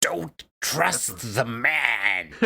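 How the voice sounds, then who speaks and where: This is a put-on character voice, low in pitch. It sounds raspy. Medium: actual play. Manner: urgent, breathless, clipped.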